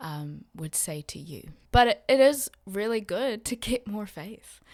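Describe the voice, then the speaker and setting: Lively intonation marks the speech of a woman in an American accent. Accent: American-sounding. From West Papua, Indonesia (missionary kid, American schools), then South Island NZ. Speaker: missionary. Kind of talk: casual chat.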